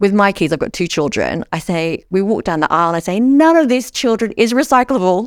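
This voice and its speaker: A woman with an Australian accent talks with hardly any pauses and very wide pitch swings. The recording is very clean, with a silent background. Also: medium pitch for a woman, fairly quick pace. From Australia, Sydney. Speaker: social enterprise founder. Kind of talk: interview.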